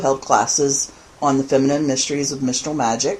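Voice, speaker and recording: A woman with a very deep, low pitch talks while noticeable noise is present in the background. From Louisiana, Lafayette (Cajun). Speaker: pagan author and teacher. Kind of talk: podcast interview.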